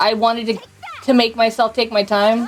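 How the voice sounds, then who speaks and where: Against noticeable background noise, a woman with an American accent talks at a fairly high pitch. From US Northeast. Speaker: video game streamer. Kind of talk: casual live-stream chat while gaming. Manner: halting, many fillers.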